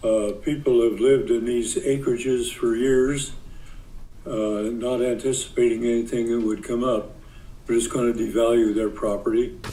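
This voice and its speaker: There is audible room echo around this man's medium-pitched voice. He keeps a moderate pace and fairly even intonation. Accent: American. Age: 90s. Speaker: farmer. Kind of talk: public testimony.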